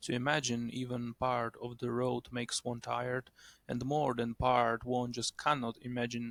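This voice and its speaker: Speaking fairly slowly with a non-native accent, a man has a medium pitch, his sound dry and close with no echo. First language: not English. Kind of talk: short story reading.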